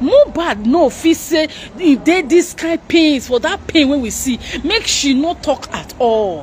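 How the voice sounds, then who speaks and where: Against light background noise, a woman with a high voice speaks at a fairly slow pace, with lively intonation and hardly any pauses. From Nigeria. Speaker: YouTube news commentator; commentary vlogger. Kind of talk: live broadcast commentary. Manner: animated. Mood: upset, impassioned. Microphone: phone near.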